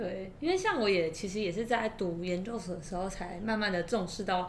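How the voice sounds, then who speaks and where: The speech moves at a moderate pace with fairly even intonation. Room echo is audible, along with noticeable background noise. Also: woman. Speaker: podcast co-host. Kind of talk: casual chat.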